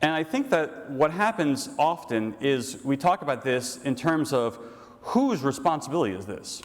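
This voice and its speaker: Over noticeable background noise, a man speaks with an American accent. His pitch is fairly high and his intonation lively. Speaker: priest. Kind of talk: lecture. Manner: fast; animated.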